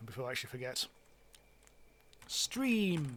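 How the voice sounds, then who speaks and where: A man speaks with a British accent at a moderate pace. His fairly high pitch has ordinary variation and a bright, sharp tone. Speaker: game streamer. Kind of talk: live gameplay stream commentary. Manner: halting, many fillers.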